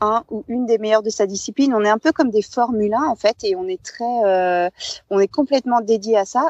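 Fairly high female voice with ordinary pitch variation, recorded dry and close with no echo. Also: quiet background. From France, Savoie (Alps). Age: 40s. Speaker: former climbing world champion, mountaineer. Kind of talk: interview.

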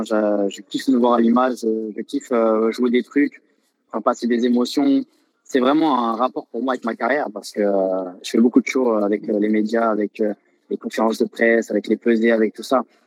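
Here a man has a plain, everyday voice at a medium pitch. He talks at a fairly quick pace with fairly even intonation. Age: 20s. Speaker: professional Thai boxer. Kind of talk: interview.

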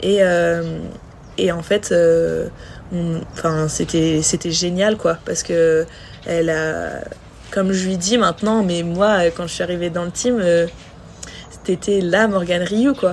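Noticeable background noise sits behind a woman with a fairly low pitch and fairly even intonation. She speaks at a very slow pace with long, frequent pauses. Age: 20s. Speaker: professional cross triathlete. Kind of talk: casual interview. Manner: halting, many repetitions and fillers.

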